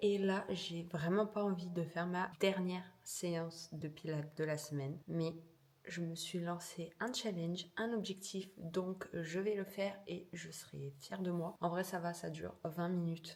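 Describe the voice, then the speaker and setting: A soft-spoken woman with a fairly low pitch talks at a fairly slow pace with fairly even intonation over noticeable background noise. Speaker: lifestyle vlogger. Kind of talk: casual vlog. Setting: at home.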